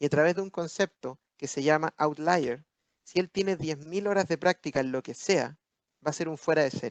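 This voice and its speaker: Dry, close sound with no echo, from an animated man at a moderate pace, fairly high-pitched, with ordinary pitch variation. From Chile. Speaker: business speaker at webinar. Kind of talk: webinar talk answering questions.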